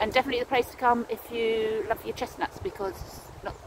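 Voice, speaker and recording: Noticeable background noise sits under this recording. A woman talks at a moderate pace. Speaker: walking vlogger. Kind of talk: casual vlog chat. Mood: relaxed, content. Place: forest. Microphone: phone near.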